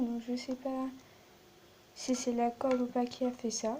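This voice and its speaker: Soft-spoken and high in pitch, a woman talks at a fairly slow pace. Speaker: slime video maker. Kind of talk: tutorial.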